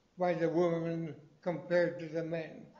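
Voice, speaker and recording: Audible room echo surrounds the recording. A man talks in a high pitch. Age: 90s. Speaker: elder language teacher. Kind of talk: language class discussion. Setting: library class broadcast. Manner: halting.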